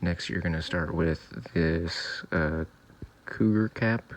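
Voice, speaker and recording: Very slowly and quietly, a man speaks in a very deep, low pitch. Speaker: DIY car repair youtuber. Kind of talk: tutorial voiceover. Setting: recorded in bedroom. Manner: flat, subdued.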